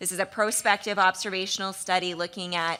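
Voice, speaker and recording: A woman's bright, sharp tone. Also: very clean recording, silent background. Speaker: pediatric hematologist. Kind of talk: conference presentation. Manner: fast.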